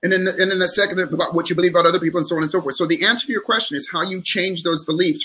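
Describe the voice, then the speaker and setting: This is a man with a high pitch and ordinary pitch variation. He speaks at a very fast pace. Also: hardly any pauses. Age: 60s. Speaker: psychologist and motivational speaker. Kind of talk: interview on live stream. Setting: live stream call.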